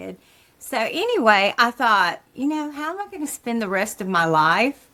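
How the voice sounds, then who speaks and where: The pitch swings very widely. Noticeable background noise sits behind the voice. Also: woman, fairly high pitch for a woman, moderate pace. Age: 60s. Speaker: stand-up comedian and retired elementary school teacher. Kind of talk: casual interview chat. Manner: conversational, frequent fillers like you know and um.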